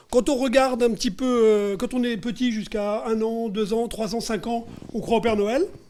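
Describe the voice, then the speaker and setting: A man speaks at an extremely high pitch with a dark, mellow tone. His pace is moderate and his pitch varies in an ordinary way. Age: 60s. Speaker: business trainer and author. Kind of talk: panel interview. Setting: live event with audience and lapel mics. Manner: hesitant, many filler sounds.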